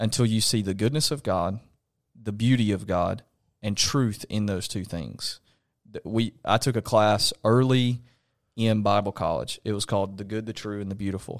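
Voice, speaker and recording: The speaker has a Southern US accent and a moderate pace with fairly even intonation. The recording is very clean, with a silent background. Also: man, fairly low pitch for a man. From Alabama. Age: 20s. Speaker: pastor. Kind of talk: casual chat. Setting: home studio.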